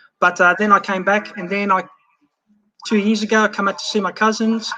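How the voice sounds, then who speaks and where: A man speaks with an Australian accent. His voice is high-pitched, raised and projected. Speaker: overseas fan. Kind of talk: casual chat.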